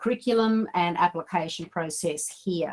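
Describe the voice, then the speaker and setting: With an Australian accent, a woman talks at a fairly slow pace using fairly even intonation. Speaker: digital mentor and coach. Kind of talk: online training session. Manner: halting.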